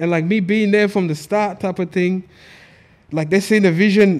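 A man with a high pitch, monotone, flat intonation and a moderate pace. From Australia. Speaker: media entrepreneur and event promoter; podcast guest. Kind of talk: casual chat. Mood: relaxed, casual slang. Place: studio. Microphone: studio mic.

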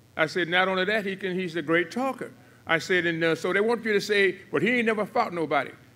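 A man's bright, sharp tone moves at a fairly quick pace with ordinary pitch variation. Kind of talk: press conference speech. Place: hall. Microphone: podium.

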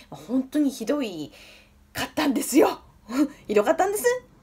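A woman speaks with a Fukushima accent. Her pitch swings very widely. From Fukushima, Iwaki. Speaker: nutritionist and diet coach. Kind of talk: casual self-introduction to camera. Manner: chatty, friendly. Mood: warm, earnest, smiling. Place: home room. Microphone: phone near.

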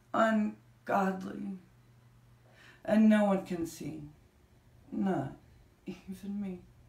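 With audible room echo, the speaker goes at a very slow pace, leaving long, frequent pauses and varying pitch in an ordinary way. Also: woman. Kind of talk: spoken word poetry reading. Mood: intense, anxious at times. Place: home room. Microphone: camera far.

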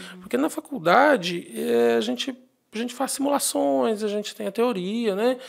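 The pitch swings very widely. Delivery is at a moderate pace over a quiet background. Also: man, high pitch for a man. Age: 30s. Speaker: accountant; guest. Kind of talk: interview. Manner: halting. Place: studio. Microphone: studio mic.

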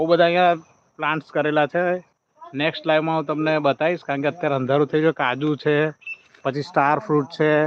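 A man's fairly high-pitched voice with flat, monotone intonation. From Gujarat, Vadodara district. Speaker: YouTuber. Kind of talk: live stream farm tour. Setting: outdoors.

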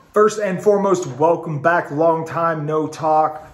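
Speaking fairly slowly with ordinary pitch variation, a man is heard with audible room echo. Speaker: food reviewer. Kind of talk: casual product review.

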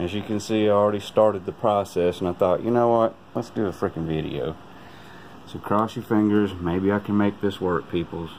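A man with a plain, everyday voice speaks at a moderate pace and a fairly low pitch. His intonation is fairly even, with light background noise. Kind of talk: casual vlog chat. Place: kitchen. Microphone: phone near.

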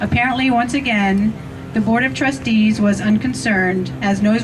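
A woman is speaking at a medium pitch. Behind her, music plays. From US Pennsylvania. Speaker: rally speaker. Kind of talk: rally speech, scripted-sounding recap of trustee decisions. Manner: formal, emphatic, deliberate, list-like, pointed. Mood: critical, earnest. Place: open country. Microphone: pa.

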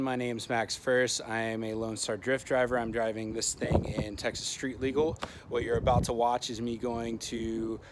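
A man talks at a moderate speed against loud noise in the background. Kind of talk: casual vlog chat. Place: street. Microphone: phone near.

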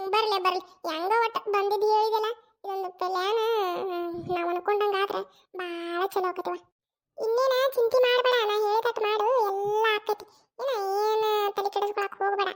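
This is a woman doing a cartoonish character voice at an extremely high pitch. She talks at a fairly slow pace with fairly even intonation. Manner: reassuring, bossy.

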